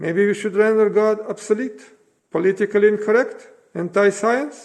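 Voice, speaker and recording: This man has a high-pitched voice with a non-native accent. His intonation stays fairly even. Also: moderate pace. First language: not English. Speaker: citizen giving a political speech. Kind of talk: prepared speech. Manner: impassioned, rhetorical.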